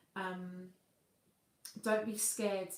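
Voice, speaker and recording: A woman's medium-pitched, flat monotone at a very slow pace, in a Cockney accent. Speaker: singer and vocal coach hosting a livestream. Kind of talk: live stream chat reading viewer comments.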